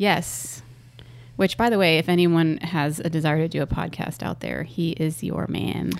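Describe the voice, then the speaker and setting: A woman with a very deep, low pitch and vocal fry speaks at a moderate pace with ordinary pitch variation. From Orlando, Florida. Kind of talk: casual chat. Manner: animated.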